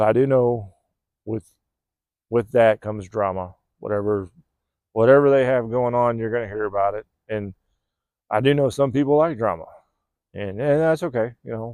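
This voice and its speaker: Against a quiet background, a man with an American accent and a dark, mellow tone speaks at a medium pitch with ordinary pitch variation and long, frequent pauses, the sound dry and close with no echo. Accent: California accent picking up a Southern drawl. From California. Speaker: vlogger. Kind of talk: casual monologue. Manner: laid-back.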